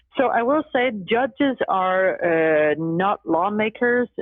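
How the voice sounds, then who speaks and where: Here is a woman with a Danish accent. Her intonation is lively. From Denmark. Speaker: law professor and judicial candidate. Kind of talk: podcast interview.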